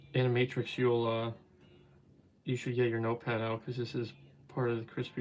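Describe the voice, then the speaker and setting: A man with a New Jersey accent. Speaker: toy customizer and live streamer. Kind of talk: casual live stream chat. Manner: casual, halting with fillers.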